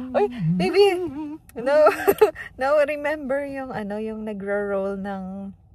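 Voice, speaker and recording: A woman's fairly high voice at a very slow pace, with long, frequent pauses, lively intonation, big swings in loudness and audible room echo. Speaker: family vlogger. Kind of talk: casual vlog. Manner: soft-spoken.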